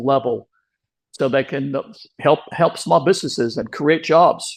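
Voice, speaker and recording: A man with an American accent speaks at a fairly quick pace with ordinary pitch variation on a very clean recording with a silent background. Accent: heavy Texan accent at times. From Texas, Round Rock near Austin. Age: 70s. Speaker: small business advocate. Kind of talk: interview. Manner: hesitant, many fillers and repeats.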